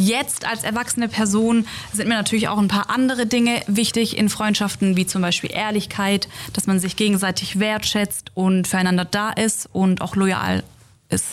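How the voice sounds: A woman speaks at a moderate pace with a medium pitch. Her intonation is fairly even, and she makes few pauses.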